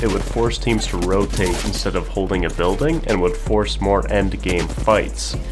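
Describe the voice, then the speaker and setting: There is audible room echo as a man speaks over noticeable background noise. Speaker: gaming YouTuber. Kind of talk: scripted commentary. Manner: low energy.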